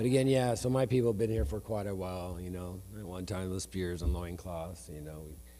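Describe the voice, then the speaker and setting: Barely pausing, a man speaks at a fairly quick pace in a very deep, low pitch with a dark, mellow tone and big swings in loudness. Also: lively intonation. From northeastern Oregon, Umatilla Indian Reservation. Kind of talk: land acknowledgement speech. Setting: event hall with audience.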